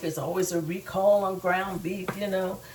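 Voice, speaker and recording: A woman's medium-pitched voice over noticeable background noise. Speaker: home cooking show host. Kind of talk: cooking tutorial.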